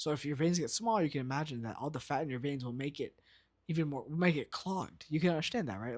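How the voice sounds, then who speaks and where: In a very clean recording with a silent background, a man with a fairly high pitch talks at a very fast pace with ordinary pitch variation. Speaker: medical student and video creator. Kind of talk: casual explainer video. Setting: at home at night. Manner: halting, many fillers.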